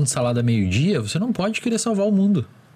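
A man talks at a very fast pace, somewhat breathy. His pitch swings very widely. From small town in the Brazilian interior. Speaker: psychologist. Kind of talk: casual chat.

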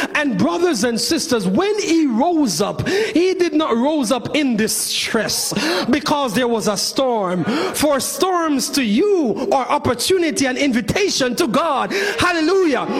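Over noticeable background noise, a man with an extremely high pitch speaks in an animated tone at a fairly slow pace, his pitch swinging very widely while his loudness stays very even. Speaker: preacher. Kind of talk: sermon. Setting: church with congregation. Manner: animated, impassioned preaching with rhetorical flourish; formal, elevated pulpit diction.

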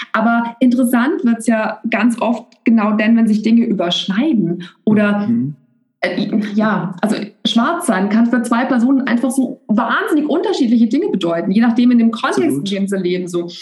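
With an unremarkable speaking voice, a woman pitched fairly high talks at a moderate speed, her intonation lively. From Germany, Bavaria (Augsburg). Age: 30s. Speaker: coach and therapist. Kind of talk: casual chat.

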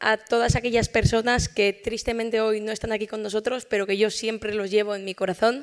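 A woman with a plain, everyday voice speaks at a fairly quick pace and a fairly high pitch. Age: 20s. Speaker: medical researcher. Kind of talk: award acceptance speech. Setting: stage with audience.

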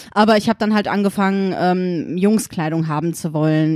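Someone with an unremarkable speaking voice talks at a moderate pace with fairly even intonation on a very clean recording with a silent background. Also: woman. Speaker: guest, genderfluid parent. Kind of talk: casual chat. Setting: at the host's home.

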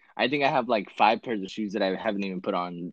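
Very fast and with an American accent, a man speaks at a fairly low pitch in a dry, close sound with no echo. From California, small town. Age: 20s. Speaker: sneaker buyer and concertgoer. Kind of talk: casual chat. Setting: call.

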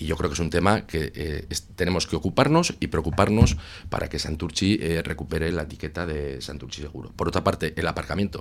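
Using a very deep, low pitch with vocal fry, a man talks at a fairly quick pace with hardly any pauses and ordinary pitch variation. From Basque Country, Santurtzi. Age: 40s. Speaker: municipal election candidate. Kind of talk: radio election debate.

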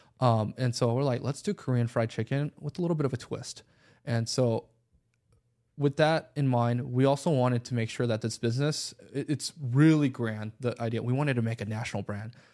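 A man with an American accent and a normal speaking voice, medium in pitch, at a fairly quick pace on a very clean recording with a silent background. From Los Angeles, California. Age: 20s. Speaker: restaurant owner. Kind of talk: interview.

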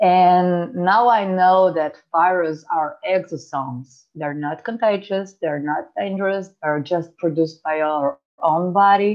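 A woman talks at a fairly slow pace, her pitch fairly low. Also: ordinary pitch variation. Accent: non-native. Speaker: health coach. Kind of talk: interview.

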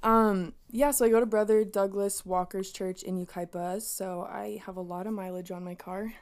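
A woman with an unremarkable speaking voice, medium-pitched, fairly even intonation, moderate pace and hardly any pauses, in a very clean recording with a silent background. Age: 20s. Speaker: student and church ministry member. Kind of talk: casual chat.

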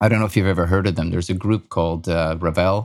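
A man's very deep, low voice with ordinary pitch variation, on a very clean recording with a silent background. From Austria. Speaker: music composer. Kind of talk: interview. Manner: halting.

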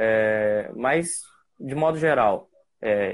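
The speaker here is a man. He talks at a medium pitch. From interior of Rio de Janeiro state, Brazil. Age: 20s. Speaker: photographer. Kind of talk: casual interview on a live stream. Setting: remote live stream.

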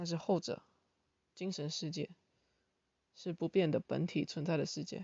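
A somewhat breathy woman at a fairly low pitch, moderate pace, with long, frequent pauses. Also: ordinary pitch variation. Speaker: podcaster and part-time teaching assistant. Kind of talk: casual monologue explaining philosophy.

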